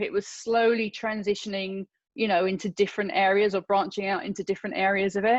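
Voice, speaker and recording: With a British accent, a woman talks at a fairly quick pace. Her pitch varies in an ordinary way over a quiet background. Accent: British accent, fully kept. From London, England. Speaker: filmmaker and actor. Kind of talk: interview.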